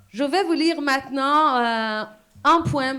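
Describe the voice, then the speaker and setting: A high-pitched woman's voice in a Persian accent, with ordinary pitch movement. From Iran. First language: Persian (speaking French). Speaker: poet and exile activist. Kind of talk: public speech.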